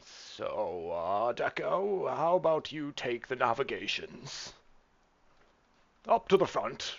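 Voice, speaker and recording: A man puts on a character voice. He talks at a fairly slow pace with long, frequent pauses. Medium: actual play. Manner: pompous, theatrical.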